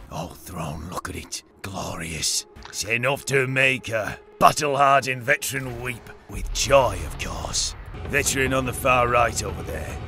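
Over clear background music, a man puts on a raspy character voice at a medium pitch and a moderate pace. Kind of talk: in-game character voice with other players. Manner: commanding, boisterous.

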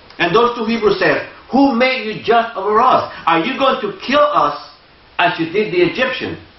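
A man with a Spanish accent speaks at an extremely high pitch with lively intonation and a moderate pace. Room echo is audible. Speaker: lay preacher. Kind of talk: sermon. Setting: church. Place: church.

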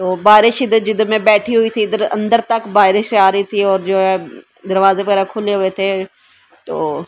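A moderate pace with little pitch movement. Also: woman.

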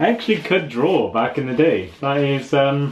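There is light background noise as a man speaks with ordinary pitch variation. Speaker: vlogger. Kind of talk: casual vlog chat. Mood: amused, nostalgic. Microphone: phone near.

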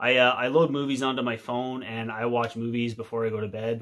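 The man's intonation stays fairly even as he talks at a middling speed. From Canada. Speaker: outdoor video creator. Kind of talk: casual tutorial to camera. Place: home room. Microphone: phone near.

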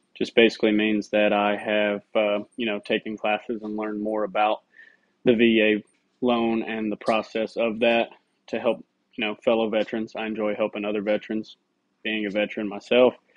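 A man speaks with a Tennessee accent at a moderate pace, in a flat monotone with long, frequent pauses. The sound is dry with no echo, and the background is quiet. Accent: Southern US (Tennessee). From Middle Tennessee. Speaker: real estate agent and army veteran. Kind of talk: self-introduction video. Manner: casual, with fillers. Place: home room. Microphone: phone near.

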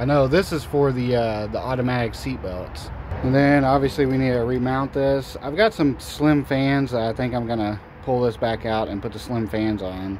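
With light background noise behind him, a man talks at a moderate pace with ordinary pitch variation. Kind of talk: casual vlog chat. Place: garage. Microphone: phone near.

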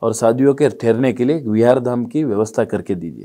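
Against a quiet background, a man speaks at a medium pitch in a dark, mellow tone. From Davanagere, Karnataka, India; Karnataka, India. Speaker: businessman and community leader; interview guest. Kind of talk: interview. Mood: calm, reflective. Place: studio. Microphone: lapel.

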